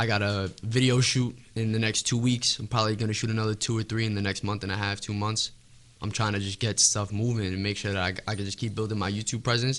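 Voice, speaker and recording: In a New York accent, a man talks at a fairly quick pace in a fairly low voice with monotone, flat intonation. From New York City, Staten Island. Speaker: rapper. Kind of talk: casual interview.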